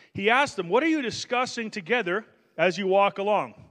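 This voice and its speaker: A man's pitch swings very widely while music plays behind him. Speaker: pastor. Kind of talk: sermon.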